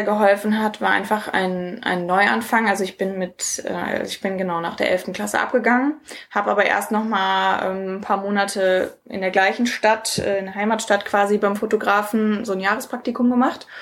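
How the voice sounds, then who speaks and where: A woman at a medium pitch and moderate pace, fairly even in intonation with hardly any pauses, over noticeable background noise. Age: 20s. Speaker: entrepreneur. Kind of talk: interview.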